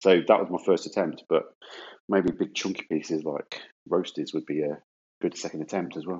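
A man's very deep, low voice with an English accent, at a moderate pace with fairly even intonation and long, frequent pauses. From England. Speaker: podcast co-host. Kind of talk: casual chat.

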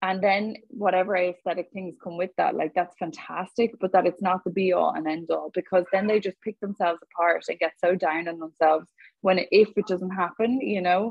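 This woman speaks with a Dublin accent. Her intonation stays fairly even. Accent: Dublin Irish. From Ireland, Dublin. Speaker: online fitness coach. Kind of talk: casual interview chat. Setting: video call.

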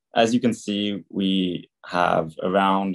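Against a quiet background, a man with a plain, everyday voice speaks at fairly low pitch with fairly even intonation. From California. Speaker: university student. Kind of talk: student presentation.

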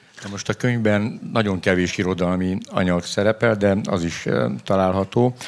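A man speaks in a plain, everyday voice at a fairly low pitch. His intonation is fairly even and his pace moderate. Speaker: publisher and event moderator. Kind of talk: moderated book presentation on stage. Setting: festival stage with audience.

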